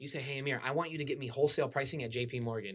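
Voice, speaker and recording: A man talks very fast in a fairly high pitch. His pitch variation is ordinary. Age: 20s. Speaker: mortgage broker. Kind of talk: casual interview.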